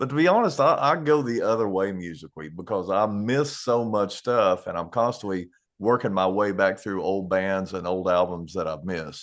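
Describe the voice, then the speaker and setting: Using lively intonation, a man with an Eastern Kentucky accent and a fairly low pitch keeps a moderate pace with hardly any pauses. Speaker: country musician. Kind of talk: casual chat.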